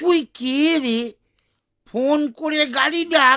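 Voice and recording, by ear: A cartoonish character voice at a high pitch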